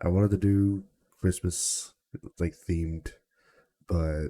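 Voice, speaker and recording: A man speaks with a very deep, low pitch and a dark, mellow tone with fairly even intonation. The recording is very clean with a silent background. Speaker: podcast host. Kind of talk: casual chat. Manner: casual, hesitant.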